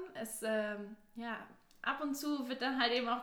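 A woman's fairly high voice with fairly even intonation, amid audible room echo and noticeable background noise. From southwest Germany, near Stuttgart. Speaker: university student. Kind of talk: casual chat.

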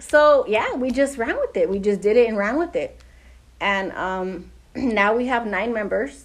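A woman's fairly high voice with lively intonation, a fairly slow pace, and noticeable background noise. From US West Coast, Pasadena, California. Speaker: lowrider car club founder. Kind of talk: casual interview. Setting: in person, Pasadena area.

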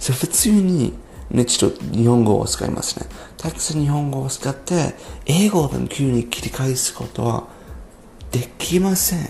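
Music plays in the background. A man with a medium pitch talks at a moderate pace with lively intonation. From abroad, non-Japanese. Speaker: podcaster. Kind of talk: solo podcast monologue. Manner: halting.

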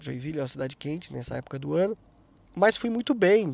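A man with a high voice speaks in a dry, close sound with no echo, on a very clean recording with a silent background. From Brazil, interior of São Paulo (Taubaté). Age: 50s. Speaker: podcast host, journalist. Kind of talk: solo podcast monologue.

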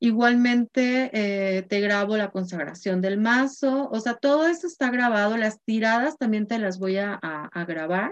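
A woman with an ordinary speaking voice, fairly high in pitch, lively in intonation, fairly slow in pace and with hardly any pauses. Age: 50s. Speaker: spiritual guide and card reader. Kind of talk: course introduction talk.

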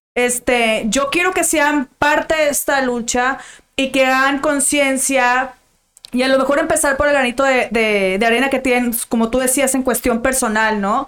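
Speaking at a fairly slow pace, a woman has a high pitch, fairly even intonation and very even loudness. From Monterrey, northern Mexico. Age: 20s. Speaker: lawyer. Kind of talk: casual interview.

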